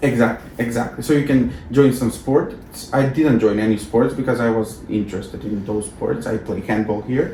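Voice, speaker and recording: A man with a non-native accent at a medium pitch, moderate pace and ordinary pitch variation, hardly any pauses, with audible room echo and noticeable background noise. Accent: foreign. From North Macedonia. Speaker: former exchange student, alumni coordinator. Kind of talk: interview. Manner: halting.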